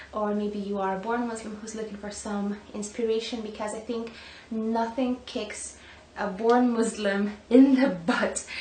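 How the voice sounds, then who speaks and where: Noticeable background noise and audible room echo surround a woman whose intonation is monotone and flat. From Lithuania, northern part. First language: Lithuanian. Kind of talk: vlog, personal story. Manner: casual, hesitant with fillers.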